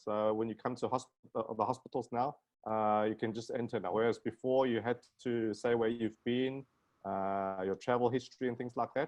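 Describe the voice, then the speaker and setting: A man with a South African accent speaks at medium pitch. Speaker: plastic surgeon. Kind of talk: casual chat.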